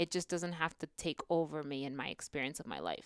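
A woman with an American accent, her pitch very deep and low, at a moderate pace, on a very clean recording with a silent background and a dry, close sound with no echo. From California Central Valley. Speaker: immigrant rights educator. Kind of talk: interview.

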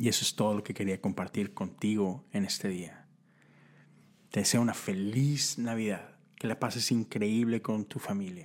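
On a very clean recording with a silent background, a man with a northern Mexican accent speaks at a moderate pace and fairly low pitch with ordinary pitch variation. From northern Mexico (Monterrey, Nuevo León). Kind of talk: devotional talk. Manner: casual, conversational.

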